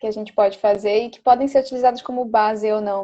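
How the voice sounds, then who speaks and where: This woman has a plain, everyday voice pitched fairly high. Her intonation stays fairly even. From Belém do Pará, northern Brazil. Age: 20s. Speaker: dancer and dance teacher. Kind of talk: casual interview.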